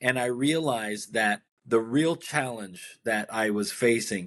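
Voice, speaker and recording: Delivered at a moderate pace, an ordinary speaking voice shows ordinary pitch variation. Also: man. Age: 60s. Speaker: author and midlife transitions coach. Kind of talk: interview.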